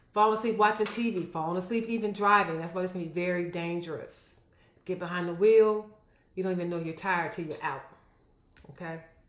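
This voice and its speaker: Audible room echo surrounds a fairly quick delivery. The intonation stays fairly even. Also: woman, medium pitch for a woman. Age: 60s. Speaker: physician. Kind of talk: health education vlog. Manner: casual, conversational.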